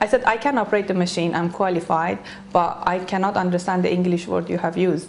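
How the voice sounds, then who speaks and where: Spoken at a very fast pace with fairly even intonation, the voice sits over noticeable background noise. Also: woman, medium pitch for a woman. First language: not English. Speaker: beauty salon owner. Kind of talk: interview. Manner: halting.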